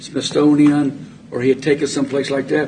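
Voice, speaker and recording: A man with an American accent talks at a fairly quick pace in a fairly high pitch, with noticeable background noise behind him. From US, military family moving around. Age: 70s. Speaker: local official, former city administrator. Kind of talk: public meeting discussion.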